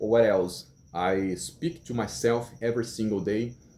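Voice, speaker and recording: With a Brazilian Portuguese accent, a man speaks at a fairly slow pace in a fairly low pitch, with ordinary pitch variation and a dark, mellow tone. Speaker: English learner vlogger. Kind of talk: casual vlog monologue. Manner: halting.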